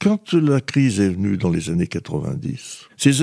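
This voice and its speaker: Here a man speaks at a moderate pace with a dark, mellow tone and medium pitch. His pitch swings very widely, and the sound is dry and close with no echo. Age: 80s+. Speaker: former mayor. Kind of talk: interview. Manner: halting.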